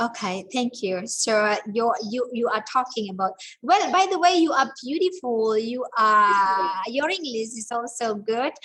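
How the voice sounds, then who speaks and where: Speaking with an Indonesian accent, a woman has a bright, sharp tone and a fairly high pitch. Her intonation is lively, her pace fairly slow, and she hardly pauses. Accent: Javanese-accented English. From Java, Indonesia. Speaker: guest lecturer. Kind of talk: lecture Q&A. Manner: halting, many fillers.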